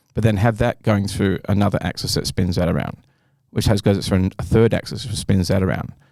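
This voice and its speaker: A man with an Australian accent, fairly low in pitch with a dark, mellow tone, fairly even intonation and a fairly quick pace. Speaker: artist and inventor. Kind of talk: casual chat. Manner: fast; halting.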